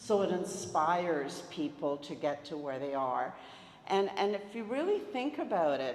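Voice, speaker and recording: A fairly low female voice at a fairly slow pace, with very wide pitch swings, audible room echo and noticeable background noise. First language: Italian. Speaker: retired educator, project organizer. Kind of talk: public speech at community event.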